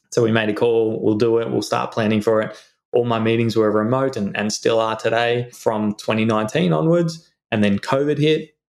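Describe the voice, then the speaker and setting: His pitch sits in the medium range for a man, varying in an ordinary way as he talks at a moderate pace. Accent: Australian. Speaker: insurance adviser and financial planner. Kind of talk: casual chat.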